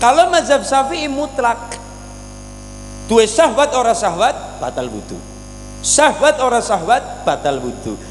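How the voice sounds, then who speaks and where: An extremely high-pitched man speaks with a Banyumasan accent, fairly slowly, with long, frequent pauses and lively intonation. His loudness swings widely over noticeable background noise. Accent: Banyumasan (ngapak) Javanese. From Cilacap, Central Java. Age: 20s. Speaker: Islamic preacher. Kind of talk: religious sermon. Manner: entertaining, humorous.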